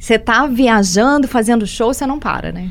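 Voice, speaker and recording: Using an ordinary speaking voice, a woman with a fairly high pitch talks at a moderate pace with ordinary pitch variation. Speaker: radio host. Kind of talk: radio interview.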